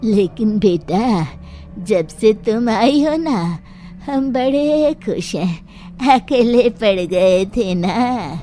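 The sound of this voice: A female-sounding, cartoonish character voice speaks at a fairly high pitch and a very slow pace. Clear background noise runs under it.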